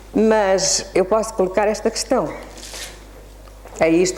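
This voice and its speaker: Audible room echo and noticeable background noise around a woman's voice at a moderate pace. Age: 70s. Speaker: spiritist lecturer and children's author. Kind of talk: lecture.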